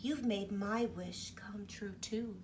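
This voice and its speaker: A woman puts on a character voice at a medium pitch. Clear background noise runs behind her. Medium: read story. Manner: gentle, kind.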